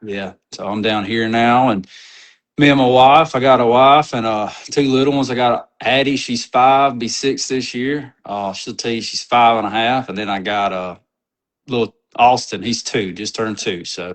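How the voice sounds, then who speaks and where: A man speaks in a Southern US accent at a medium pitch. His pace is moderate and his pitch variation ordinary. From North Mississippi, Tupelo. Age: 30s. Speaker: outdoors media personality. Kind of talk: casual chat.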